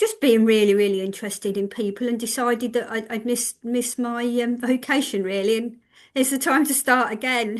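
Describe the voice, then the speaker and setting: At a moderate pace, a woman with a fairly high pitch speaks in a fairly even intonation. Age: 50s. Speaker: trainee counsellor and therapist. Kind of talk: casual chat. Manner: halting.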